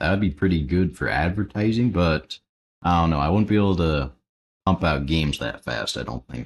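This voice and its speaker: A man speaks quietly at a moderate pace. His pitch swings very widely. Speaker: Roblox Studio tutorial YouTuber, live streamer. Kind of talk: live stream, casual Q&A while building. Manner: quiet, low-energy.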